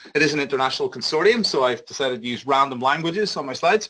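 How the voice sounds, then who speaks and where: A man with a Northern Irish accent has a fairly high pitch and a bright, sharp tone, with ordinary pitch variation. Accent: Northern Irish (Belfast). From Northern Ireland, Belfast. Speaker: big data company health lead, biologist. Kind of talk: conference presentation. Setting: conference seminar with audience. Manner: loud; fast.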